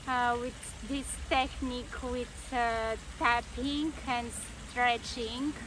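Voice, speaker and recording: A woman with a non-native accent, high in pitch, at a very slow pace, with audible room echo. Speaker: workshop participant. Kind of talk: testimony. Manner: halting, many fillers.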